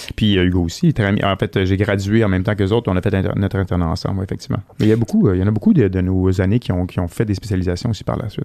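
A man speaks at a very fast pace with hardly any pauses, his fairly low voice dark and mellow in tone and his intonation fairly even. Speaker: veterinarian. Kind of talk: casual interview chat. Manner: loud.

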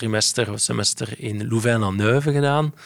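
A man speaks at a medium pitch and moderate pace, his intonation fairly even. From Belgium, Flemish Brabant near Brussels. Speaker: payments company CEO. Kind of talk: interview. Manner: hesitant, many fillers.

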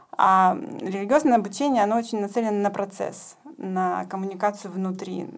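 There is noticeable background noise behind the speaker. A woman talks at medium pitch with ordinary pitch variation. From Ukraine. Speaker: rabbinical student, community leader. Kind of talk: podcast interview. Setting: studio.

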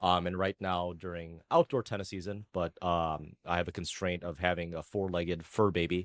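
In a dry, close recording with no echo, a man with a very deep, low pitch speaks at a moderate pace in a monotone, flat intonation with hardly any pauses. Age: 30s. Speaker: tennis coach and software engineer. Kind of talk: casual chat. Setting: video call.

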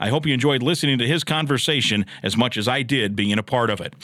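A man talks very fast with an American accent. His tone is bright and sharp, with vocal fry. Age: 50s. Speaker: radio play-by-play announcer and podcast host. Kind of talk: casual interview. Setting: studio.

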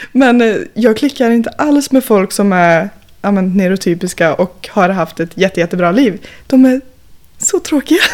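A woman's medium-pitched, unremarkable speaking voice at a moderate pace, with lively intonation. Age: 20s. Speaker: industrial worker and climber. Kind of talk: casual chat.

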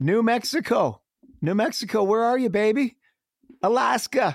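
The tone is animated and the pace fairly slow. The sound is dry and close with no echo, on a very clean recording with a silent background. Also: man. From Canada, Winnipeg. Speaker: marketing consultant. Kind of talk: podcast interview.

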